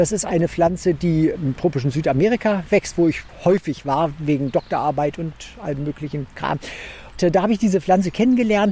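A man with a high-pitched voice talks fairly quickly, with ordinary pitch variation. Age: 50s. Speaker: botanist and garden curator. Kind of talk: interview while walking through a botanical garden.

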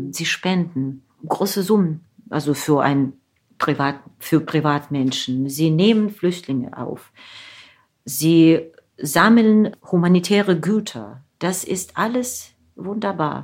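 In a Russian accent, a woman speaks very slowly at a fairly low pitch with lively intonation. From Ukraine, Zaporizhzhia. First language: Russian (speaking German). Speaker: novelist and translator. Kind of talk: interview.

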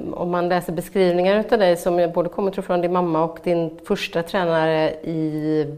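A woman with a Swedish accent, fairly even intonation and a moderate pace, on a very clean recording over a silent background. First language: Swedish (speaking Norwegian). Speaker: podcast host. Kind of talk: interview.

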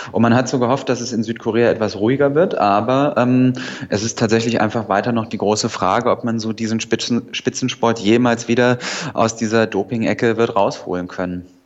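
Over noticeable background noise, a man speaks at a fairly quick pace and medium pitch with fairly even intonation. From northern Hesse, Germany. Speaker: journalist. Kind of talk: radio news review chat. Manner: hesitant with filler sounds.

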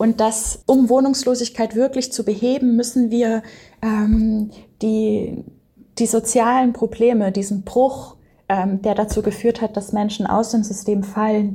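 A woman's fairly high, somewhat breathy voice with a dark, mellow tone and monotone, flat intonation. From Baden-Württemberg, Germany (village). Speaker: anthropologist. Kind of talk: interview.

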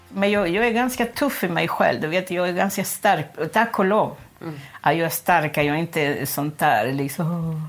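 Music plays behind a woman speaking at a moderate pace. Her pitch is fairly low and her intonation lively. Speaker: former prisoner. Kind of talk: interview testimony. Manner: halting.

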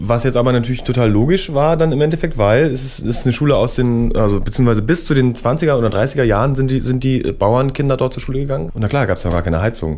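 A man talks at a very fast pace with hardly any pauses, his intonation lively and his pitch medium. Noticeable background noise sits under his voice. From Berlin. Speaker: musician. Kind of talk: radio interview. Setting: studio. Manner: halting.

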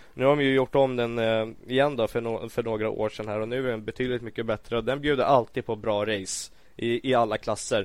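Fairly quick, monotone speech with flat intonation and hardly any pauses. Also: man, medium pitch for a man. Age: 20s. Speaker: MotoGP commentator and former racer. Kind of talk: casual chat.

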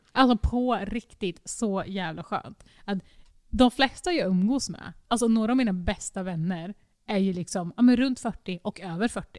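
A woman speaks at a moderate pace with a plain, everyday voice. Her pitch sits in the middle range, with ordinary variation. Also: dry, close sound with no echo. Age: 20s. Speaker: podcast co-host. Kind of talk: casual chat. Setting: recording in an echoey, sparsely furnished dining room.

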